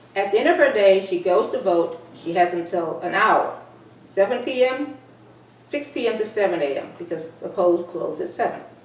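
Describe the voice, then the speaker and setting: A woman with an American accent speaks at a moderate pace in a medium pitch, her intonation lively, with audible room echo and noticeable background noise. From Texas. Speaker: talk show host and columnist. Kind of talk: reading own column with commentary.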